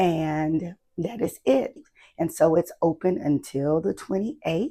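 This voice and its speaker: Vocal fry colors a woman's dark, mellow tone at a fairly low pitch. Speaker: planner youtuber. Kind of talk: casual chat; tutorial. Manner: animated.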